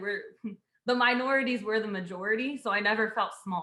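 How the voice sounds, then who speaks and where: Her speech comes at a moderate pace with fairly even intonation and a fairly high pitch. It is an unremarkable speaking voice from a woman. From Houston, Texas. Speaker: civil engineer. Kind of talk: casual chat.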